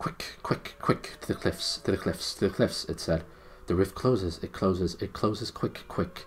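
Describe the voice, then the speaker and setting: In a put-on character voice, a man growls at a very deep, low pitch, raspy and hissing, at a moderate pace over clear background noise. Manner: urgent.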